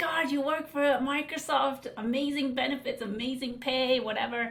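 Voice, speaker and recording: Audible room echo and noticeable background noise around a woman speaking at a moderate pace. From southern India (Tamil Nadu) until 11, then UK. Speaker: life coach. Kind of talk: podcast interview. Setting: podcast interview.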